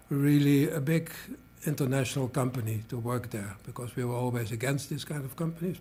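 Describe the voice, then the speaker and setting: Somewhat breathy speech from a man at a medium pitch and a moderate pace. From Netherlands. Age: 70s. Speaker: organizational development consultant. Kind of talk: interview. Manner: halting, many filler sounds.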